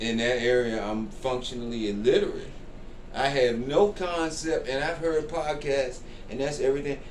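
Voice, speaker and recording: A man talks at a moderate pace, his pitch varying in an ordinary way, amid audible room echo and noticeable background noise. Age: 60s. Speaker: comedian. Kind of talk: interview.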